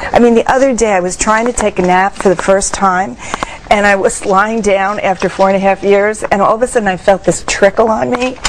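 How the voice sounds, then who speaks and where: Noticeable background noise surrounds a woman speaking at medium pitch. She talks at a fairly quick pace with ordinary pitch variation. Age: 60s. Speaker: mother of young twins, healing musician. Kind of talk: TV interview. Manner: animated.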